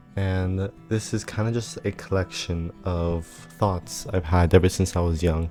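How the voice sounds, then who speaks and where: A man's very deep, low voice at a fairly slow pace, with ordinary pitch variation and music in the background. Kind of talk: casual talk to camera. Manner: hesitant.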